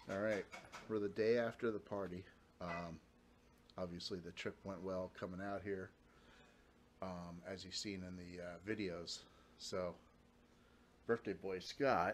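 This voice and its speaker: A man with a very deep, low pitch and monotone, flat intonation, at a fairly slow pace with long, frequent pauses, over light background noise. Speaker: vlogger. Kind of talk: casual vlog chat. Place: home room. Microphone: phone near.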